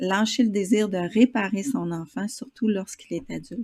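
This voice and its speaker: A woman at medium pitch with a strong Quebec accent, in a very clean recording with a silent background. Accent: Québécois, strong. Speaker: interviewer. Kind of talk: interview.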